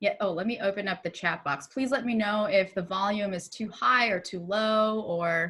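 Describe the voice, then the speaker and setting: With a bright, sharp tone, a woman speaks at a moderate pace in a medium pitch, with ordinary pitch variation and hardly any pauses. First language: not English. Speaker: music curriculum trainer. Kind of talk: online training tutorial. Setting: video call. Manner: upbeat.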